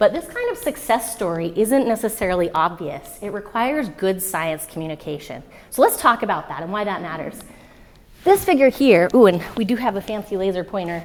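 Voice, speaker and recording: Talking at a fairly quick pace with lively intonation, a woman at a medium pitch swings widely in loudness over noticeable background noise. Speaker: physicist, former graduate student, speaker. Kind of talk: public talk. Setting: stage with audience.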